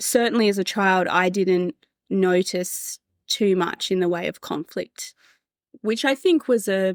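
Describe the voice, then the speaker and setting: A woman in an Australian accent, medium pitch, ordinary pitch variation, fairly slow pace, dry, close sound with no echo. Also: very clean recording, silent background. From Australia, Adelaide Hills. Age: 30s. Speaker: podcast guest sharing life story. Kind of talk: personal testimony interview.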